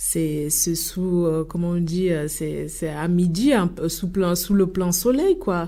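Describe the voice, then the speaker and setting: A dark, mellow tone at a very slow pace, hardly any pauses, ordinary pitch variation and audible room echo. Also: woman, fairly low pitch for a woman. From Italy. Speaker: association leader. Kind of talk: radio debate interview. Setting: studio. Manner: halting, many hesitations.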